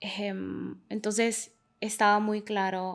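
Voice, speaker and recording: A woman in a Honduran accent, monotone and flat in intonation, on a very clean recording with a silent background. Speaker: migration researcher. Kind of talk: interview. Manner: hesitant, many fillers.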